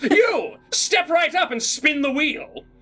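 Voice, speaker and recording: Using a put-on character voice, the speaker talks at an extremely high pitch and a fairly slow pace. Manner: showman barking.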